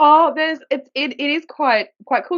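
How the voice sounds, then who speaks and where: A woman is speaking. She has a strong Australian accent. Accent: broad Australian. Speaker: podcast co-host, permaculture gardener. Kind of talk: casual chat. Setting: home office.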